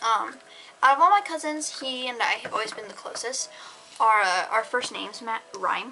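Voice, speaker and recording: A high-pitched woman's voice with lively intonation and big swings in loudness, at a moderate pace, against noticeable background noise. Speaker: YouTuber. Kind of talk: casual vlog monologue. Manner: halting, self-correcting.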